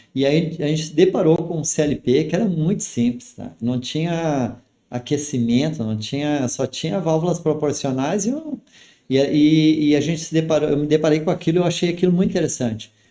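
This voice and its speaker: Dark, mellow tone from a man, fairly high in pitch, with ordinary pitch variation. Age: 60s. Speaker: company director. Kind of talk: podcast interview. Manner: halting.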